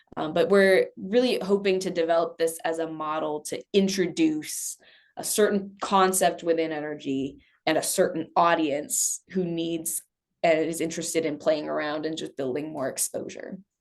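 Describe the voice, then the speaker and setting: Against a quiet background, a woman talks at a moderate pace with a fairly low pitch. She has an unremarkable speaking voice with ordinary pitch variation. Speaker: energy education program lead. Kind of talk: presentation. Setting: task force meeting.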